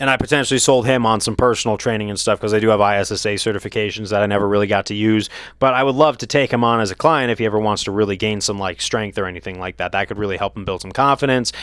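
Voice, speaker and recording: A man with a fairly low voice talks at a very fast pace, with hardly any pauses and fairly even intonation. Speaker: vlogger. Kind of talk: casual storytelling monologue. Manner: casual with many fillers.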